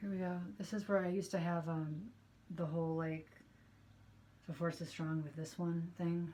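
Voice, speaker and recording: A woman speaks at a moderate pace with long, frequent pauses, her pitch fairly low and her intonation fairly even. Her voice is somewhat breathy, with a dark, mellow tone. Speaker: youth group teacher and vlogger. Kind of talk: casual vlog, show-and-tell.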